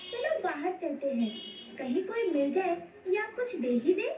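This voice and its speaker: A cartoonish character voice from a woman, extremely high in pitch with very wide pitch swings and a moderate pace, over clear background noise with a slight echo. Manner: polite, warm.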